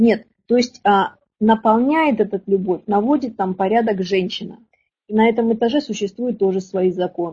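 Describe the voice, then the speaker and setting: Her voice is fairly high, with a dark, mellow tone and somewhat breathy quality. The woman talks at a moderate pace with ordinary pitch variation. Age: 40s. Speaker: women's relationship coach. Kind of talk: webinar lecture. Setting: online webinar. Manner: animated.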